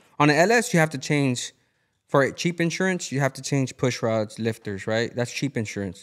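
Over a quiet background, a man with an American accent speaks at a medium pitch with lively intonation. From Houston, Texas. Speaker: podcast host. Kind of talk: casual chat. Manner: casual, profane. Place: garage. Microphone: studio mic.

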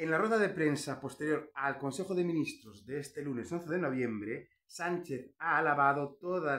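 A man speaks at a fairly high pitch with a bright, sharp tone and vocal fry. His intonation is lively, his pace fairly slow, and the background quiet. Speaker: political commentary YouTuber, historian; political commentary YouTuber. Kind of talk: opinion monologue. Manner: animated; emphatic, sounds angry. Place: home room. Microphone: phone near.

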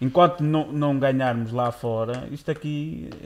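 The pitch moves in an ordinary way. The pace is moderate. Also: man. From Braga, northern Portugal; northern Portugal. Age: 20s. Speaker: podcast co-host. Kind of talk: casual chat. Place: studio. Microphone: studio mic.

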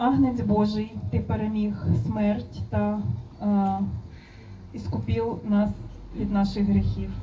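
Fairly slow speech from a woman with a Ukrainian accent, very even in loudness, with long, frequent pauses and light background noise. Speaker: interpreter translating into Ukrainian. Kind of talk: consecutive interpreting of a blessing. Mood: solemn, measured. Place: garden.

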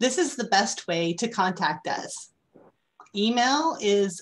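A woman speaks in a somewhat breathy voice. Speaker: lifelong learning program coordinator. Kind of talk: announcements. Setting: video call.

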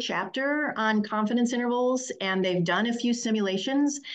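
Against a quiet background, a woman speaks at a high pitch and a moderate pace. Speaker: statistics professor. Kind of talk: online workshop lecture. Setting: video call. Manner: hesitant, many fillers. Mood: warm, encouraging. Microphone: webcam.

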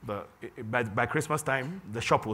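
A man's bright, sharp tone over light background noise. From Ghana. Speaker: software entrepreneur; conference keynote speaker. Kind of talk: conference talk. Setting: stage with audience. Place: hall. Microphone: lapel.

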